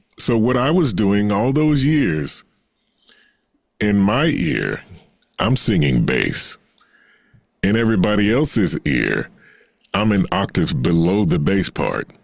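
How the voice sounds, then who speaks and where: A man with a fairly low pitch and an American accent, very wide pitch swings, a very slow pace, very even loudness, and long, frequent pauses. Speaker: singer and voice actor. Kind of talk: interview answer. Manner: hesitant, conversational.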